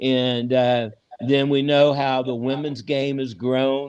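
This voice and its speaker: At a very slow pace, a man speaks in a medium pitch with monotone, flat intonation. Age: 70s. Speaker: documentary filmmaker and sports history collector. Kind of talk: casual interview chat. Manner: halting, many fillers.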